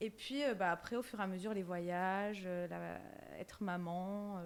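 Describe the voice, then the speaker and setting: Her intonation stays fairly even at a medium pitch as this woman speaks fairly slowly. The recording is very clean, with a silent background. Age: 20s. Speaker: content creator. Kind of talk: casual interview. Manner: hesitant, many fillers.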